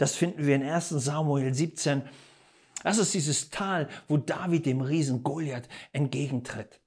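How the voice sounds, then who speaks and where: Against a quiet background, a man with a fairly high pitch speaks at a fairly slow pace in an animated, somewhat breathy tone, keeping his loudness very even. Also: ordinary pitch variation. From Germany. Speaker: preacher. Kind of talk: sermon. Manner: emphatic, rhetorical questions. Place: studio. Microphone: lapel.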